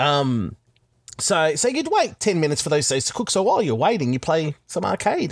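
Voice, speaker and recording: Speaking at a fairly quick pace with an Australian accent, a man uses a high pitch with very wide pitch swings. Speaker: podcaster. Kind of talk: casual chat.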